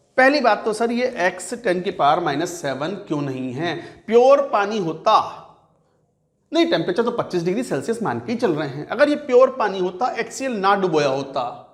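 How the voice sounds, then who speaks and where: A man's high-pitched voice with very wide pitch swings and audible room echo. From Uttar Pradesh, India. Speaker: chemistry teacher. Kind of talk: lecture. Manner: conversational, repetitive questioning.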